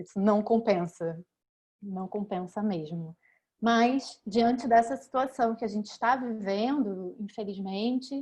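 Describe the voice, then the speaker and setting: Speaking at a very slow pace, a woman with a fairly high pitch and a somewhat breathy voice uses ordinary pitch variation in a strong Rio de Janeiro accent. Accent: strong Rio de Janeiro (carioca). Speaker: law professor. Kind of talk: academic panel talk. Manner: halting, with many fillers.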